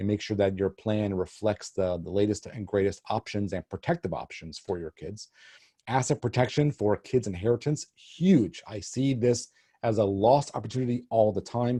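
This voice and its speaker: Against a quiet background, a man talks in a fairly low pitch with a dark, mellow tone, somewhat breathy, with ordinary pitch variation. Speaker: estate planning attorney. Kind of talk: webinar presentation. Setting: online webinar. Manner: fast.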